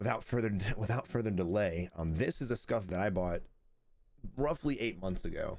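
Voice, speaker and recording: The voice is quiet, with very even loudness and ordinary pitch variation. It moves at a moderate pace. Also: man, fairly low pitch for a man. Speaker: gaming streamer and reviewer. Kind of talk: product review. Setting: at home, early morning. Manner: quiet, kept low; casual.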